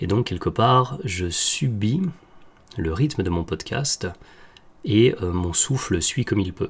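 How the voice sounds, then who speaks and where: A man's fairly low voice moves through very wide pitch swings. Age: 30s. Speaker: health podcaster. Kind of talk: solo podcast monologue. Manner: hesitant, many fillers.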